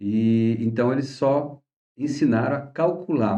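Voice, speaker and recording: A dark, mellow tone marks the man's medium-pitched voice. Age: 60s. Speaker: astrology teacher. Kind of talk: course introduction talk. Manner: casual, halting with fillers.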